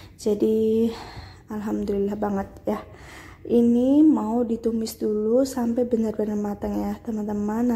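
The voice is somewhat breathy and moves at a very slow pace. Its intonation stays fairly even. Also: woman. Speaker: cooking vlogger. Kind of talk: cooking tutorial. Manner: casual, chatty.

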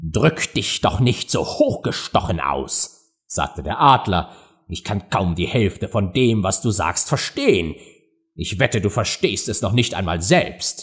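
A man with a fairly low pitch talks at a very slow pace, his voice somewhat breathy. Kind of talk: audiobook narration, reading a story aloud with character voices.

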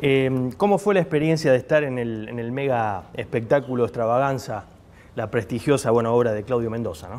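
An unremarkable speaking voice moves at a moderate pace with lively intonation and big swings in loudness. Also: man, medium pitch for a man. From Argentina. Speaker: TV interviewer. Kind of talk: TV interview. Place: bar. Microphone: lapel.

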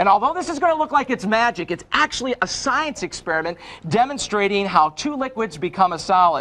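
Upbeat, enthusiastic man, high-pitched and raised, projected, at a fairly quick pace with very wide pitch swings. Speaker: infomercial host. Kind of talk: infomercial demonstration. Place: studio. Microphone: lapel.

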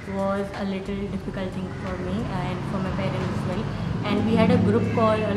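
Moderate pace against loud background noise. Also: woman. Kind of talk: interview answer. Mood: calm, reflective. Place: classroom.

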